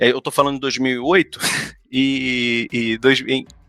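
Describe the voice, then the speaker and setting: Medium-pitched male voice with a Brazilian accent, bright and sharp in tone, fairly even intonation, recorded dry and close with no echo, very clean against a silent background. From Brazil, São Gonçalo, Rio de Janeiro. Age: 30s. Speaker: museum worker, former history teacher. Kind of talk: podcast interview. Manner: halting, many repetitions.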